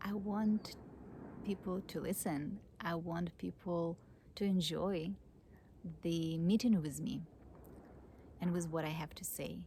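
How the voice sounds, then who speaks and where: A woman with a non-native accent, fairly low pitch and a dark, mellow tone, somewhat breathy, fairly slow with long, frequent pauses and fairly even intonation. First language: not English. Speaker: psychologist and spiritual teacher. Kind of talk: personal vlog monologue. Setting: outdoors under an oak tree. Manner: halting.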